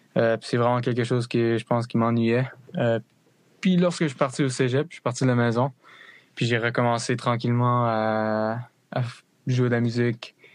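A man talks at a moderate pace and a medium pitch with fairly even intonation. He leaves long, frequent pauses. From Connecticut, US (French-Canadian family from New Brunswick). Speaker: musician and student. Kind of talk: casual interview.

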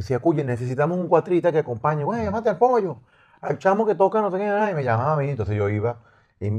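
A man at a very fast pace, dark and mellow in tone, with very wide pitch swings against a quiet background. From Venezuela, raised Los Teques, life in Maracaibo. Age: 50s. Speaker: musician. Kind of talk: casual chat. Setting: studio.

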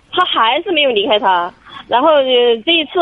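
A woman speaks in a high pitch with very wide pitch swings. Noticeable background noise is present. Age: 40s. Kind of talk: phone call-in. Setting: phone call from a car. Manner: halting, hesitant.

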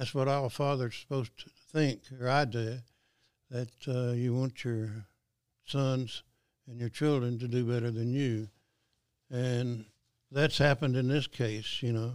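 A man at a medium pitch speaks at a fairly slow pace in a flat monotone, with long, frequent pauses. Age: 80s. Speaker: retired truck driver and company founder. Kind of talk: casual interview. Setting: office.

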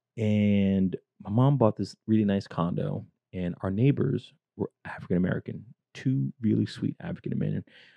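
A man with a fairly low pitch speaks with lively intonation. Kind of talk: stand-up style anecdote, profane and punchy, told as a comic story. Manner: animated, rapid-fire storyteller who acts out the dialogue and laughs mid-story; excitable, swearing for emphasis, building to the punchline.

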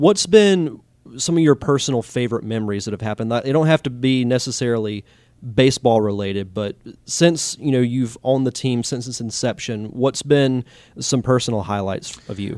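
Using an ordinary speaking voice, a man with an American accent talks at a fairly quick pace and a medium pitch with ordinary pitch variation. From Pensacola, Florida. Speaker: podcast host. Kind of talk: podcast narration; podcast interview.

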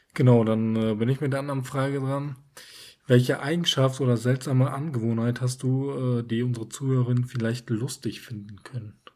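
At a fairly quick pace, a man speaks in a medium-pitched, dark, mellow voice with fairly even intonation. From northern Germany, Emsland. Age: 20s. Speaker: podcast co-host. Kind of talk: casual chat.

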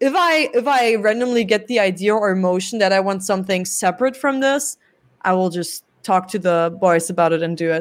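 In a very clean recording with a silent background, a woman speaks fairly quickly in a medium pitch with a German accent and lively intonation. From Germany. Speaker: rock band singer. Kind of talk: interview.

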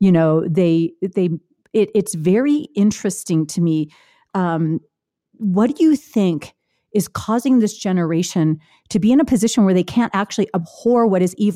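A woman with an unremarkable speaking voice talks at a moderate pace in a medium pitch, her intonation lively. The recording is very clean with a silent background, and her loudness stays very even. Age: 50s. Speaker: podcast host and author. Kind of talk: interview.

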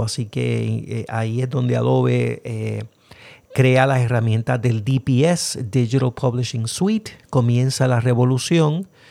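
With a Puerto Rican accent, a man speaks at a moderate pace in a dark, mellow tone. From Puerto Rico. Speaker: podcast host. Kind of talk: casual podcast intro and commentary, code-switching.

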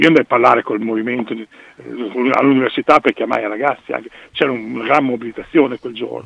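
Very fast, medium-pitched speech from a man, with fairly even intonation and noticeable background noise. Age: 60s. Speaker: former football ultras member. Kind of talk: phone interview, storytelling.

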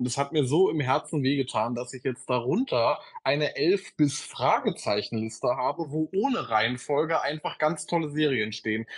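This unremarkable speaking voice moves at a moderate pace with ordinary pitch variation and hardly any pauses. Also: man, fairly high pitch for a man. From Berlin area. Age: 20s. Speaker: social media creator. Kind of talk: casual chat.

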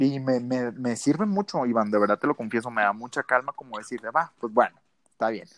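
A man with a northern Mexican accent speaks fairly quickly at a medium pitch, with ordinary pitch variation. The recording is very clean and dry, close with no echo and a silent background. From northern Mexico, Sonora (Ciudad Obregón). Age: 20s. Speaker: motivational speaker. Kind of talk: casual interview.

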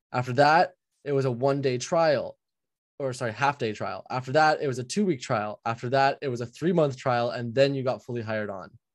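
Over a quiet background, a man talks at a fairly quick pace in a plain, everyday voice of medium pitch with ordinary pitch variation. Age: 20s. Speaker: general contractor. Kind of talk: coaching session.

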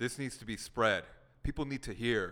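In a very clean recording with a silent background, a man speaks in a bright, sharp tone. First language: Korean. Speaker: podcast host. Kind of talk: casual chat.

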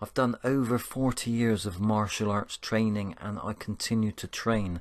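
Speaking with a Bristol accent, a man has a warm tone, fairly low pitch and fairly even intonation at a moderate pace. The background is quiet. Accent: Bristolian English. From Bristol, England. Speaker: spiritual podcaster. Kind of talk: motivational monologue. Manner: warm, uplifting.

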